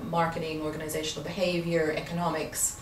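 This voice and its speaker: A woman talks at a fairly quick pace with a fairly low pitch. Noticeable background noise and audible room echo fill the recording. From Canada, Vancouver. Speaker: accountant and university teacher. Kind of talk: interview. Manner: hesitant, many fillers.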